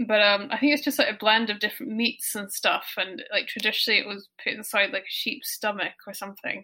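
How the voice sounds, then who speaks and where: With a Scottish accent, a woman speaks fairly quickly and with hardly any pauses, her fairly high voice carrying a bright, sharp tone. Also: ordinary pitch variation. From Scotland. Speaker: guest interviewee. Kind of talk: casual chat.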